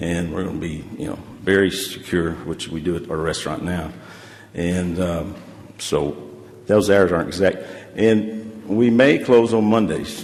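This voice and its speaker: Over noticeable background noise and audible room echo, a man talks fairly slowly in a very deep, low voice with ordinary pitch variation. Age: 60s. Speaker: restaurant owner. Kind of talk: public hearing testimony. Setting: council chamber. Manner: casual, rambling with fillers.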